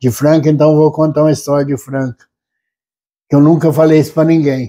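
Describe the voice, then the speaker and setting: A man talks at a fairly quick pace in a fairly high pitch, his intonation flat and monotone. His tone is dark and mellow. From Brazil, São Paulo state interior. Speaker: former city councillor, rodeo founder; former city councillor. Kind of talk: interview. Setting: at home. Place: home room. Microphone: lapel.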